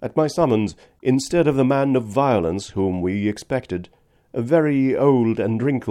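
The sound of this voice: The reading voice is unforced, and its intonation rises and falls in a lively way.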